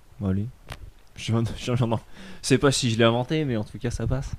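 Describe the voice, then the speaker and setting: A man is speaking at a fairly quick pace. His pitch sits in the medium range. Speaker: freelancer travelling the world. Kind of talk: casual interview. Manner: animated.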